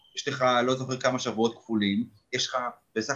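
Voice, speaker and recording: A man speaks at a medium pitch. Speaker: fan podcast host. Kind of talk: casual chat. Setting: video call.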